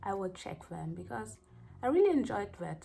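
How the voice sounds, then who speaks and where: This is a woman's voice. She speaks with a strong German accent. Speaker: hair care vlogger. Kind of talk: tutorial vlog. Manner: casual, halting at times.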